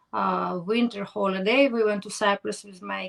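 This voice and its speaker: This is a woman speaking. She has a Ukrainian accent. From Ukraine, Kherson. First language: Ukrainian or Russian. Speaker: podcast host. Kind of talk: interview. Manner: halting.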